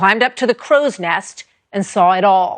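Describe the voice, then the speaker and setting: A woman with a normal speaking voice, medium pitch, ordinary pitch variation and a moderate pace. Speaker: TV news interviewer. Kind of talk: TV news interview questions and introduction.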